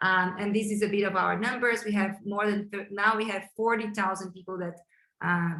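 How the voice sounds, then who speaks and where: Medium pitch and a bright, sharp tone from a woman with a Brazilian Portuguese accent, at a moderate pace with fairly even intonation. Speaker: chief design officer hosting a webinar. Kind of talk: webinar introduction. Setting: online webinar.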